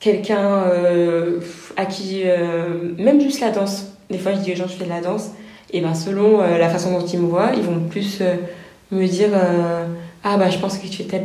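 Over noticeable background noise and audible room echo, a woman speaks at a medium pitch and a moderate pace with fairly even intonation. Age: 20s. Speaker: pharmacist. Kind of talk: interview.

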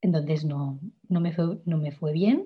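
A woman's somewhat breathy voice sits at a fairly low pitch. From Catalonia, Spain (Igualada). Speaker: singer-songwriter. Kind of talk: interview.

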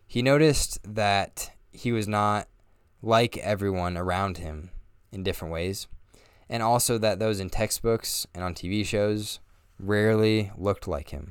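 On a very clean recording with a silent background, a man with an American accent and an unremarkable speaking voice talks at a fairly slow pace and fairly low pitch. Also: ordinary pitch variation. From Northern Colorado, US. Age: 20s. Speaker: podcast host. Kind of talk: scripted narration.

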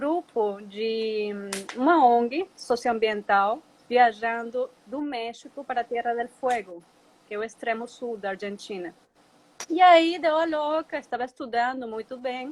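A woman with a Spanish accent at a high pitch, a very slow pace with long, frequent pauses, ordinary pitch variation and big swings in loudness. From Venezuela. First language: Spanish (speaking Portuguese). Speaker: ecotourism company founder. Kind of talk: interview. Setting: Instagram live video call.

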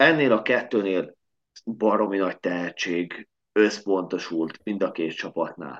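Ordinary pitch variation marks this man's fairly low voice. He speaks at a very slow pace. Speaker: podcast host, sports fan. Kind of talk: casual sports podcast chat.

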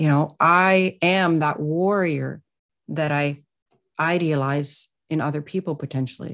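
On a very clean recording with a silent background, a woman with a Canadian accent speaks slowly in a very deep, low pitch and fairly even intonation. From Canada, Ottawa. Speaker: spiritual healer and Reiki practitioner. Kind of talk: interview. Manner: halting, many fillers.

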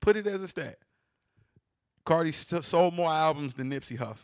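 An animated tone at a moderate pace. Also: man. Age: 30s. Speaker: podcast co-host. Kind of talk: casual banter, comedic. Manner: animated, joking.

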